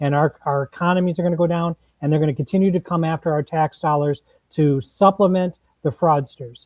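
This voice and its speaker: A man with an American accent speaks at a fairly quick pace, his pitch fairly high and his intonation fairly even. It is an unremarkable speaking voice. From Minnesota, St. Paul east side. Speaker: political candidate. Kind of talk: panel discussion. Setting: livestream.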